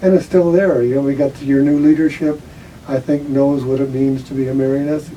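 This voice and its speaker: At a fairly quick pace, a man with a fairly high pitch speaks in a monotone, flat intonation over noticeable background noise. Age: 80s+. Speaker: retired school guidance counselor. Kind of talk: interview. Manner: halting.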